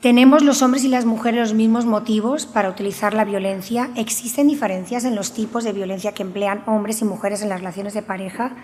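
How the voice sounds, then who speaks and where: A woman speaks at a fairly high pitch with fairly even intonation. Noticeable background noise and audible room echo surround her voice. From Spain, Valencia region (Alcoy, Alicante). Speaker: researcher and university professor. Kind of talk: conference talk. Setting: conference with audience.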